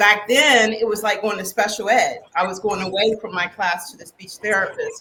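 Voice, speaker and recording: A woman with an American accent has a plain, everyday voice, speaking at a moderate pace with ordinary pitch variation. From West Virginia, rural. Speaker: keynote speaker and coach. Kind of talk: podcast interview.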